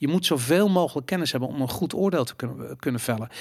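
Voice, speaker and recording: The recording is very clean with a silent background. A man with a fairly high pitch talks very fast with lively intonation and vocal fry. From Netherlands, Amsterdam. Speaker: podcast host. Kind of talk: casual chat.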